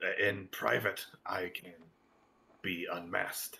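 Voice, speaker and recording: A man speaks at a fairly slow pace in a raspy, put-on character voice. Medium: actual play.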